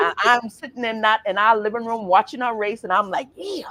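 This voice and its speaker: Speaking at a fairly quick pace, a woman uses a fairly high pitch and an animated tone that sounds bright and sharp. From Bahamas, Grand Bahama. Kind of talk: interview. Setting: studio. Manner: loud.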